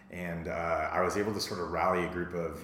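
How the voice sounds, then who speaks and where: A man speaks with a very deep, low pitch over noticeable background noise. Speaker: entrepreneur. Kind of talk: casual interview. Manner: fast talker; passionate, excitable.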